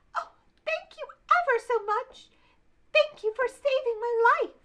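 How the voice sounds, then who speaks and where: Putting on a character voice, a woman talks at a fairly slow pace. Her voice is squeaky and extremely high. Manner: grateful.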